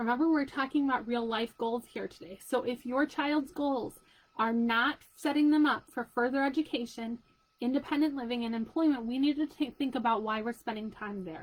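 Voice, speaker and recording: The speaker is a woman with a high voice. Her pitch shows ordinary variation. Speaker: special education parent advocate. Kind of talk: live chat video for parents. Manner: fast; casual, conversational.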